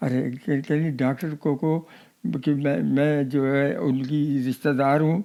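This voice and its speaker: In a very clean recording with a silent background, a man's fairly high voice carries a dark, mellow tone, fairly even intonation, and very even loudness. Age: 80s+. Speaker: partition survivor. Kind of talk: interview answer. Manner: halting, repetitive.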